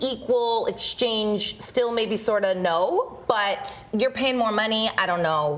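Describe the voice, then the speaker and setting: Upbeat and playful, a woman with a fairly high pitch speaks at a very slow pace with hardly any pauses and very even loudness, over noticeable background noise. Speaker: TV news anchor. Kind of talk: casual, bantering talk with co-anchor on a midday show. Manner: upbeat, playful.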